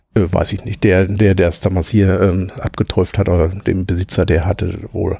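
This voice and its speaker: Over noticeable background noise, a man talks at a fairly slow pace with hardly any pauses. His very deep, low voice has a monotone, flat intonation. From Ruhr area, Hamm (Westphalia). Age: 50s. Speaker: former coal miner, now train driver. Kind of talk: casual interview.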